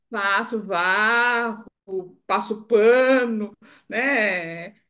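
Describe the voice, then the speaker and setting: At a very slow pace, a woman speaks in a bright, sharp tone with fairly high pitch and fairly even intonation. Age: 70s. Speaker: testimonial giver. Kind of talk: testimony.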